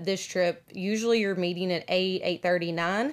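Moderate pace and fairly even intonation from a medium-pitched woman with a Southern US accent, on a very clean recording with a silent background. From US South. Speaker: podcast co-host. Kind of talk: casual chat. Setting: on a cruise ship.

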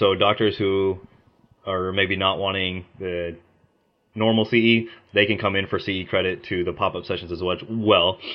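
A man with an American accent uses a plain, everyday voice, fairly low in pitch, at a moderate pace with fairly even intonation. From Oklahoma, US. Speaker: optometry student and student association leader. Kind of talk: casual interview.

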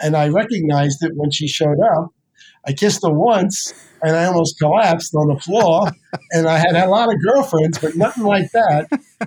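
The man here has a high-pitched voice with ordinary pitch variation. His loudness stays very even. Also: moderate pace. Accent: New York. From New York City (South Bronx). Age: 70s. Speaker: chiropractor and author. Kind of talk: interview conversation. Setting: video call. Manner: enthusiastic, animated.

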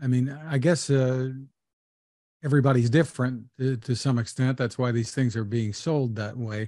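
With a dark, mellow tone, a man talks at a moderate pace and fairly even intonation against a quiet background. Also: medium pitch for a man. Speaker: podcast co-host. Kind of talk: podcast interview.

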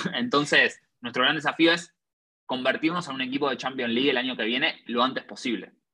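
Lively intonation runs through this man's bright, sharp tone. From Argentina. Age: 20s. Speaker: entrepreneur. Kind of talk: interview.

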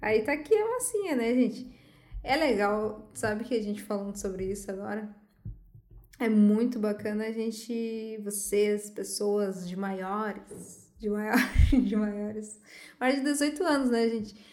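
Amid noticeable background noise and audible room echo, a woman speaks at a fairly slow pace and fairly high pitch with fairly even intonation. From southern Brazil, Santo Ângelo (Rio Grande do Sul). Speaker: podcast co-host. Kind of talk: casual chat.

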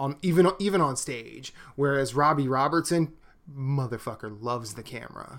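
On a very clean recording with a silent background, a man with an ordinary speaking voice and a fairly high pitch talks at a moderate pace, with ordinary pitch variation and big swings in loudness. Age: 40s. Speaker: podcast co-host. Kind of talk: casual chat.

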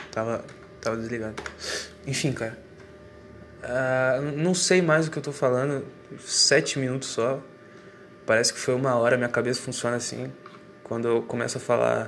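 A man with long, frequent pauses, audible room echo and noticeable background noise. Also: medium pitch for a man, ordinary pitch variation, moderate pace. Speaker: solo monologue recorder. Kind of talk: rambling personal monologue. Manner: halting, repeats words.

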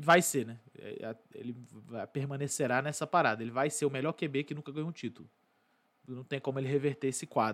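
A man talks at a fairly quick pace and a fairly high pitch, with ordinary pitch variation. His speech has long, frequent pauses. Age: 20s. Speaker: sports podcast host. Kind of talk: casual commentary monologue. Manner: casual.

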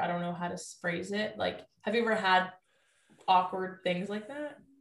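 Audible room echo surrounds a woman as she speaks. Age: 20s. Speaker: nutritionist. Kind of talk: casual chat.

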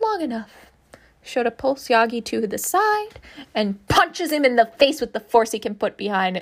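Simple, plain reading aloud.

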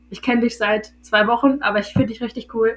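Noticeable background noise accompanies a woman's voice. She speaks at a moderate pace with monotone, flat intonation. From northern Germany, Hildesheim (Lower Saxony). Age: 20s. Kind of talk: casual chat.

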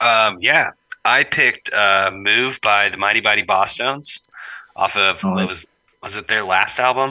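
A man with an ordinary speaking voice talks in a fairly low pitch. His pace is fairly slow and his intonation fairly even. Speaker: band member. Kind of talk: casual interview chat.

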